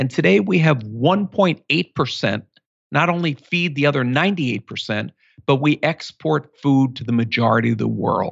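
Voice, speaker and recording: The voice carries vocal fry and very wide pitch swings. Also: man. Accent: American. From US Northeast, Philadelphia. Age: 50s. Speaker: author and entrepreneur. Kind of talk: interview.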